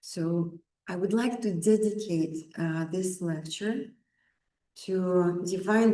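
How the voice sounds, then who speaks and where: A woman speaks slowly-ish in a fairly low pitch with a dark, mellow tone. Her intonation stays fairly even, and audible room echo fills the space. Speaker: lecturer on Vaastu Shastra. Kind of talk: lecture. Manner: loud.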